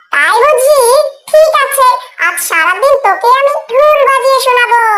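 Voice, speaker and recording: Squeaky and extremely high, a woman's cartoonish character voice moves at a fairly slow pace. Her intonation is lively. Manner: crafty.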